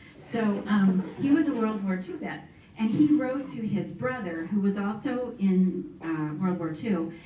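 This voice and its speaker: Lively intonation marks a woman's medium-pitched voice, heard with audible room echo and noticeable background noise. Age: 60s. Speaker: campus speaker. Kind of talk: faith testimony talk.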